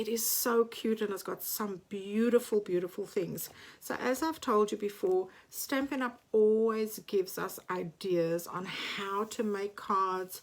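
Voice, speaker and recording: A woman speaks at a medium pitch and a fairly slow pace, with ordinary pitch variation. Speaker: papercraft demonstrator. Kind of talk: live craft product demonstration. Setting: home craft space, livestream late at night.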